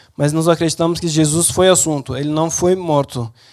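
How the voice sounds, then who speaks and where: A man with a non-native accent talks at a moderate pace in a fairly high pitch, his intonation monotone and flat. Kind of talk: talk to an audience. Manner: halting.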